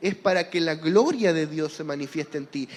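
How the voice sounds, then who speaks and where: A man speaks at a moderate pace. He has a Chilean accent. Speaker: preacher. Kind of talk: sermon.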